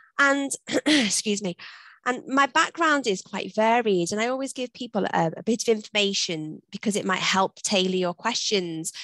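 A woman speaks at a moderate pace with lively intonation. The sound is dry with no echo, and the background is quiet. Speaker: webinar presenter. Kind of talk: webinar presentation. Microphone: video call.

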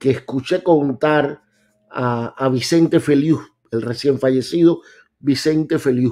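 Over a quiet background, a man with a fairly high pitch and a dark, mellow tone speaks at a fairly slow pace with lively intonation. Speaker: political commentary youtuber. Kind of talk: commentary on replayed video. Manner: hesitant, many fillers. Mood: relaxed, cheerful. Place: home room.

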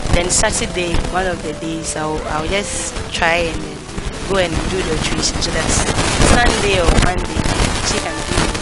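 Loud music plays in the background as a woman talks at a fairly slow pace. The sound itself is dry with no echo. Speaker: school teacher. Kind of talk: interview answer. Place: classroom.

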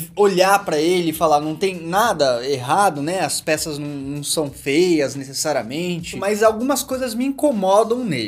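This man's pitch swings very widely. He talks at a moderate pace. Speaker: menswear style creator. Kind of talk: casual vlog chat. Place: home room.

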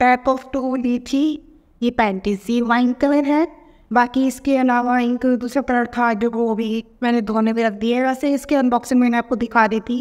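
A woman's high-pitched voice, fairly slow and monotone with flat intonation, very even in loudness, over a quiet background. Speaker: YouTube fashion vlogger; fashion haul vlogger. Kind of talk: try-on haul review. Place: home room. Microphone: echoey room sound.

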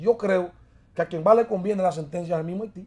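In a Dominican accent, a man talks with a dark, mellow tone. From southern Dominican Republic. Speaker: congressman; politician guest. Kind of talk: interview. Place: studio. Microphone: lapel.

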